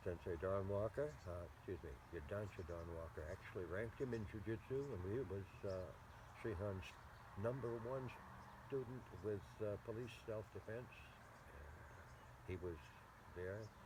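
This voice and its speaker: Noticeable background noise sits behind a man's voice. He talks at a fairly slow pace with lively intonation. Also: fairly low pitch for a man. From Maine. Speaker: jujutsu and karate instructor. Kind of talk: interview answer.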